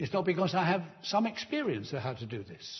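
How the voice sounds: The speaker talks at a fairly quick pace with big pitch swings. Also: man, fairly high pitch for a man.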